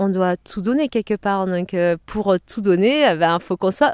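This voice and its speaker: Dry and close with no echo on a very clean recording with a silent background, a woman with a Provençal accent speaks at a fairly slow pace with ordinary pitch variation. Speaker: shiatsu practitioner, karate and yoga teacher. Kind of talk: interview. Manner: animated, conversational.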